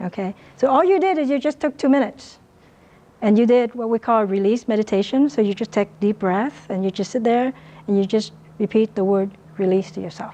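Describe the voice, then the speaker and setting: The tone is dark and mellow, with a Vietnamese accent. The pace is fairly quick. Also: woman, fairly high pitch for a woman, ordinary pitch variation. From Vietnam, then Riverside, California. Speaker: dentist and business coach. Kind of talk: motivational talk. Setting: lecture room with student audience.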